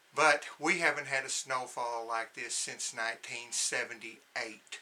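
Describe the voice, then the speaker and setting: A man talks at a moderate pace in an American accent. Noticeable background noise can be heard. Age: 60s. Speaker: homesteading vlogger. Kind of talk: casual video narration.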